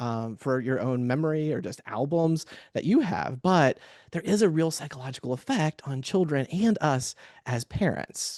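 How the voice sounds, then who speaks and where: An ordinary speaking voice from a man with an American accent, moving at a moderate pace with lively intonation. The sound is dry and close with no echo, over a quiet background. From US Midwest, Cincinnati, Ohio. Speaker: therapist and webinar panelist. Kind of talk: webinar presentation.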